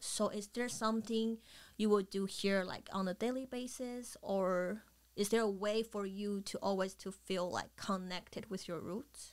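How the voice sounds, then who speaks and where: A woman talks at a fairly slow pace in an ordinary speaking voice, medium in pitch. Her intonation stays fairly even. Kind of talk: podcast host.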